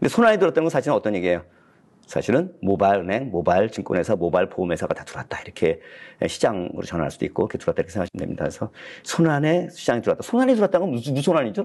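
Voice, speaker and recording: A man's very fast, fairly high voice with very wide pitch swings and vocal fry against a quiet background. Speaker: professor, graduate school dean. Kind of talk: lecture. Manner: hesitant fillers.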